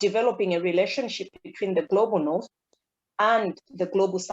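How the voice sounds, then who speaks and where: A woman with a non-native accent and a medium pitch is recorded with a dry, close sound, no echo and a quiet background. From Malawi. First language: not English. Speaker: university lecturer and researcher. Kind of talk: academic presentation. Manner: halting, many fillers and repetitions.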